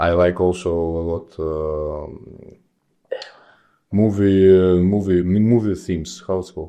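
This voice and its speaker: A man with a Russian accent, very deep and low in pitch, fairly even in intonation, at a fairly slow pace with long, frequent pauses. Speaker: judo athlete. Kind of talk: casual chat.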